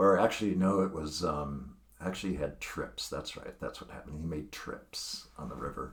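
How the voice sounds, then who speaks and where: A man's voice carries audible room echo. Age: 60s. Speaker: poker player. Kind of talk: casual monologue on poker strategy. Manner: halting, many fillers and restarts.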